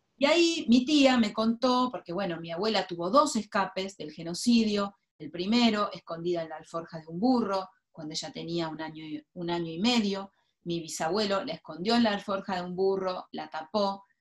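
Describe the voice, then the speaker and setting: A woman with a plain, everyday voice talks at a medium pitch and a moderate pace, her intonation lively and her loudness swinging widely. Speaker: writer and former journalist. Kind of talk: interview.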